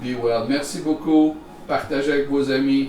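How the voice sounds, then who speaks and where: With music in the background and audible room echo, a man in a Quebec accent speaks at a fairly slow pace, medium-pitched with fairly even intonation. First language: French. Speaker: chef. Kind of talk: cooking tutorial.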